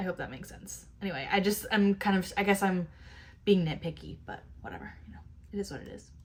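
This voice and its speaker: This woman talks at a very fast pace, her loudness swinging widely. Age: 20s. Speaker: YouTube commentator. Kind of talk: reaction commentary. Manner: casual, filler-heavy.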